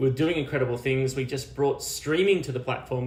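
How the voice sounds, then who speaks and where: With an Australian accent, a man talks at a fairly quick pace and medium pitch, and audible room echo surrounds his voice. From Australia, small country town near Canberra. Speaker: media and technology executive. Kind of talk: interview. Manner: halting, many repeated words and fillers.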